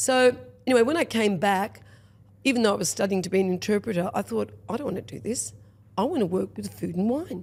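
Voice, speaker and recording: A woman with an Australian accent at a very fast pace. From rural Victoria, Australia. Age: 60s. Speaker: restaurateur. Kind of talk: podcast interview. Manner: animated.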